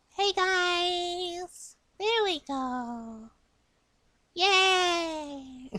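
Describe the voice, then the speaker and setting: A put-on character voice, squeaky and extremely high in pitch. It stays squeaky throughout. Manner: cheerful, excited.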